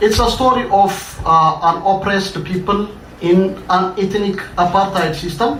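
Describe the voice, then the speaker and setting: A high-pitched man with an Ethiopian accent speaks at a moderate pace with fairly even intonation and very even loudness, amid noticeable background noise and audible room echo. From Ethiopia, Addis Ababa. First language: Amharic. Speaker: writer. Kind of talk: reading aloud.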